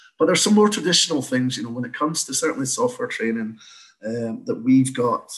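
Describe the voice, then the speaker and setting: In a slight Scottish accent, a man talks at a very fast pace. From Scotland. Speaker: training company owner, former project manager. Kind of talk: casual interview chat.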